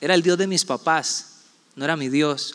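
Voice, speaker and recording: Fairly even intonation in a high-pitched male voice. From Costa Rica, San José and Puerto Viejo de Sarapiquí. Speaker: pastor. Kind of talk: sermon.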